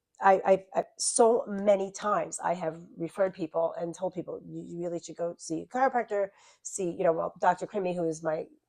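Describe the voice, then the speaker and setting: Talking at a fairly quick pace in a Long Island accent, a woman uses a dark, mellow tone at medium pitch, with ordinary pitch variation and big swings in loudness. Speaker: YouTube channel host, wellness instructor. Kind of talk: casual interview chat. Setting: studio lounge.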